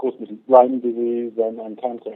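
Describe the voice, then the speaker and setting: With a monotone, flat intonation, a man talks at a medium pitch. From Great Britain. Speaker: naturopathic doctor. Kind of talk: interview.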